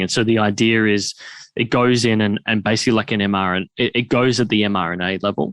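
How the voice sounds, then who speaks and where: With an Australian accent, a man speaks fairly low and fairly quickly, his intonation fairly even and his loudness very even, in a dry, close sound with no echo over a quiet background. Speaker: podcast host. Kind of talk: podcast interview talk.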